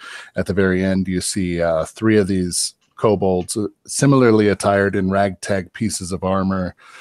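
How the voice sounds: A natural reading voice with fairly even intonation over a quiet background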